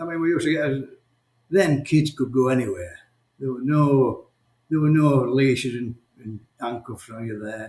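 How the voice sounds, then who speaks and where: Somewhat breathy and medium in pitch, a man speaks in a Yorkshire accent with big swings in loudness and long, frequent pauses. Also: ordinary pitch variation, moderate pace. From South Yorkshire, near Barnsley/Sheffield. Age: 60s. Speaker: champion game shooter, former miner. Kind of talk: interview. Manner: halting, repetitive.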